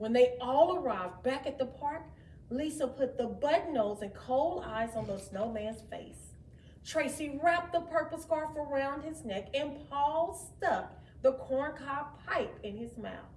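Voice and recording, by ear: Speaking at a fairly slow pace, a woman with a high pitch and a slightly mellow tone uses lively intonation amid audible room echo.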